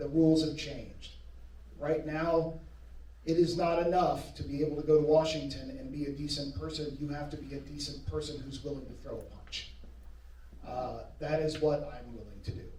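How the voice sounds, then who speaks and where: A man with an American accent at a moderate pace, big swings in loudness, audible room echo and noticeable background noise. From Georgia, near Atlanta. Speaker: political candidate. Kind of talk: candidate forum answer. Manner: forceful.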